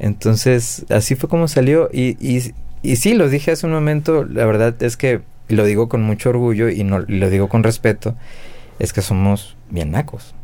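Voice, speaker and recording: Speaking at a moderate pace in a Mexican accent, this voice has a dark, mellow tone and very even loudness. Its intonation is lively. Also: man, medium pitch for a man. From Mexico, Guadalajara. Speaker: drummer. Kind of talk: casual chat.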